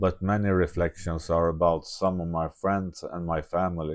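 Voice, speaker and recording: In a quiet background, a man with a very deep, low pitch speaks at a fairly slow pace with monotone, flat intonation. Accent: Swedish. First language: Swedish. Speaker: video diarist. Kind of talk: reading aloud. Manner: halting.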